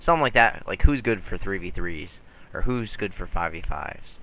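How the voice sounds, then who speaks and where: A man is heard over noticeable background noise. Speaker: gaming YouTuber. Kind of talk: gameplay commentary. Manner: casual, hesitant with fillers. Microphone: poor audio.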